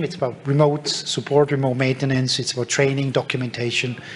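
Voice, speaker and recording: A man at a fairly high pitch and a very fast pace, over noticeable background noise. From Germany. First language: German. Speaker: tech company speaker. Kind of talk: conference talk. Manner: hesitant with fillers.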